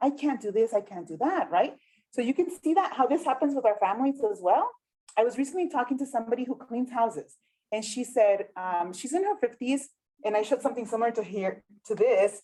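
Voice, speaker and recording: A woman with a Spanish accent talks at a very fast pace, her pitch high. Her intonation is lively and her tone dark and mellow. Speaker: workshop facilitator. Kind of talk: community workshop presentation. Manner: animated.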